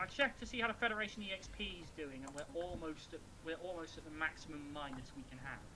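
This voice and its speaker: The speech comes at a very fast pace. Noticeable background noise runs underneath. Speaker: gamer in multiplayer match. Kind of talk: casual chat while gaming. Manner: halting, struggling for words.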